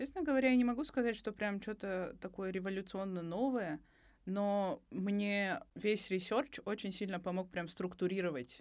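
Lively intonation marks a woman's medium-pitched voice at a moderate pace. The recording is very clean, with a silent background. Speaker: podcast co-host, university student. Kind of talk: casual chat. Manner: pitch shifts higher when joking.

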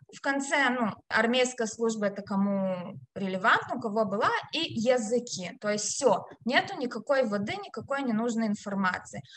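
Intonation here is lively, at a moderate pace. Noticeable background noise runs underneath. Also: woman, fairly high pitch for a woman. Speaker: HR specialist and career consultant. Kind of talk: interview, career advice.

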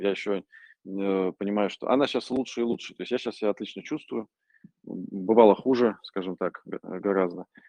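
Fairly quick and fairly even in intonation, the voice carries a dark, mellow tone. The sound is dry and close, with no echo. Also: man. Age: 30s. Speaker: parkour pioneer and gear manufacturer. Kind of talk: interview. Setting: remote call from a gym.

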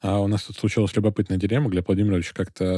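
Heard in a very clean recording with a silent background and a dry, close sound with no echo, a man speaks at a fairly low pitch in a dark, mellow tone. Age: young. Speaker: lawyer and podcast host. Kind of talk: casual discussion.

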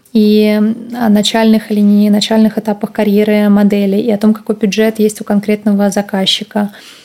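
A woman's fairly high voice at a moderate pace, monotone and flat, with very even loudness. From Russia, St. Petersburg. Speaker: former fashion model and agent. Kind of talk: interview.

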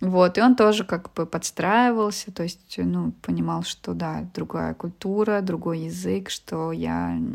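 A woman at a very slow pace with hardly any pauses, on a very clean recording with a silent background. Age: 30s. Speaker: business consultant. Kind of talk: interview. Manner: hesitant with fillers.

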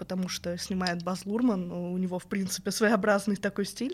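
The delivery is an ordinary speaking voice, moving at a moderate pace with fairly even intonation. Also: woman. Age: 20s. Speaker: narrative game designer. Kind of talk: casual interview. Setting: studio.

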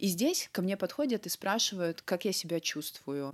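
The recording is very clean, with a silent background and a dry, close sound with no echo. A woman speaks at a moderate pace. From North Ossetia, Vladikavkaz. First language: Ossetian (bilingual with Russian) (speaking Russian). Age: 30s. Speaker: cardiac surgeon. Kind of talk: interview.

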